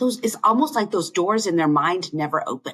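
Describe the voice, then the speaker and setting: With an American accent, a woman talks at a fairly quick pace in an ordinary speaking voice, her intonation lively. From US South. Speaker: internist and medical educator. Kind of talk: casual interview conversation.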